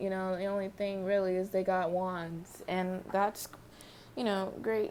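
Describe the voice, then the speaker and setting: The voice is soft-spoken. Its pace is fairly slow. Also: woman. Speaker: tarot reader. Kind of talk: tarot reading vlog. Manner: casual, rambling.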